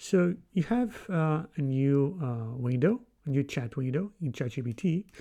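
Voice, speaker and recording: A man with a non-native accent and a dark, mellow tone, at a fairly slow pace with ordinary pitch variation against a quiet background. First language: not English. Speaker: programming tutorial creator. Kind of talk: tutorial. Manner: hesitant, many fillers.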